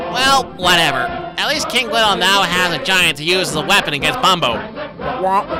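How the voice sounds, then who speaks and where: Loud background noise sits under a cartoonish character voice. It has a middle pitch and a moderate pace. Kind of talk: movie review commentary. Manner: sarcastic, snarky.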